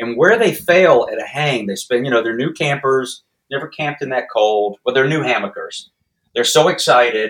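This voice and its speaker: Using a plain, everyday voice, a man with a fairly high pitch speaks at a moderate pace with lively intonation. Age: 60s. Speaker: backpacking YouTuber. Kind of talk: podcast interview.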